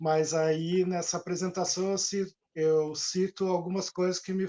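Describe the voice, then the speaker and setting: The man's tone is dark and mellow, and his pace is fairly slow. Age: 60s. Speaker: journalist and author. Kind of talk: interview. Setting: live stream.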